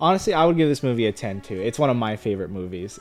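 Music plays in the background as a man with an American accent and medium pitch talks at a very fast pace. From Los Angeles, US. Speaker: film review podcast co-host. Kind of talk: casual chat.

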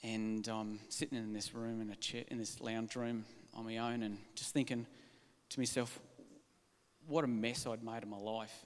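Speaking with an Australian accent, a man talks at a moderate pace and a medium pitch. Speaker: church member. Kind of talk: testimony.

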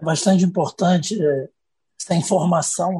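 A man with a high pitch and a dark, mellow tone talks at a fairly slow pace with ordinary pitch variation, the sound dry and close with no echo. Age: 40s. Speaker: interviewer, federal attorney. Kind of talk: interview.

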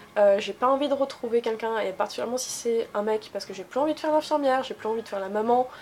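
A woman with a fairly high pitch speaks at a very fast pace with hardly any pauses and ordinary pitch variation, against noticeable background noise. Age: 20s. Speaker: interviewee. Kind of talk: casual interview.

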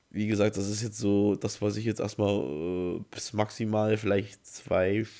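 A man with a dark, mellow tone speaks fairly slowly at a fairly low pitch. The recording is very clean, with a silent background. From Saxony, Leipzig area. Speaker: podcast host. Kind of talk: solo podcast monologue. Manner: halting.

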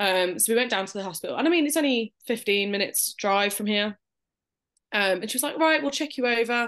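In a Birmingham accent, a woman speaks at a very fast pace with a fairly high pitch and lively intonation. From Birmingham, England. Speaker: new mother sharing birth story. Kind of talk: casual interview.

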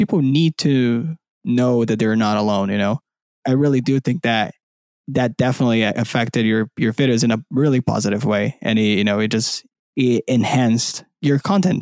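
On a very clean recording with a silent background, a man with a Portuguese accent and medium pitch talks at a moderate pace with very even loudness and ordinary pitch variation, the sound dry and close with no echo. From Brazil. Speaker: podcast host. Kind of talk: casual interview.

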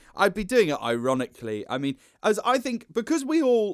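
A man speaks at a moderate pace, his pitch swinging very widely. The recording is very clean, with a silent background. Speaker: actor and comedian. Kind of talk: casual chat. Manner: loud.

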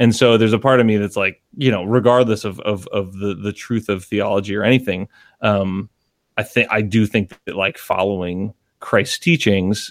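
A man talks with an American accent and a fairly low pitch. His intonation is fairly even and his pace moderate. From Connecticut. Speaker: musician. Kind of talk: casual chat. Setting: video call. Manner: halting.

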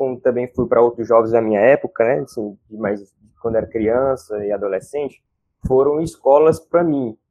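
In an unremarkable speaking voice, a man talks with ordinary pitch variation. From Fortaleza, Ceará, Brazil. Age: 20s. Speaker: social educator and environmental activist. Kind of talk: casual interview chat.

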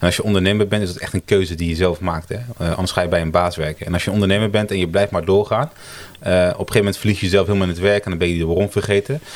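A man speaks very fast in a very deep, low voice with fairly even intonation. Noticeable background noise sits behind him. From Italy. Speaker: brand designer, agency co-founder. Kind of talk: casual interview chat. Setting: around a table in person.

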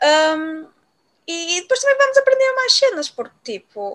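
A woman speaks in a raised, projected voice with an extremely high pitch, very wide pitch swings, and a bright, sharp tone at a moderate pace. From Portugal, Viana do Castelo. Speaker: podcast co-host. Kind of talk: casual chat. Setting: at home with cats.

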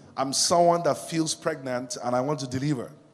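Against noticeable background noise, a man talks in a fairly high pitch. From Nigeria, Yoruba. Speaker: pastor. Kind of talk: sermon. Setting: stage with audience. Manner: animated.

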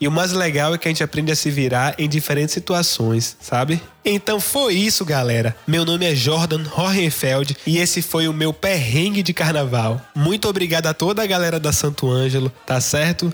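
A man speaks at a moderate pace in a fairly high pitch with ordinary pitch variation. His loudness stays very even against noticeable background noise. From Salvador, Bahia. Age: 20s. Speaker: guitarist. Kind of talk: storytelling.

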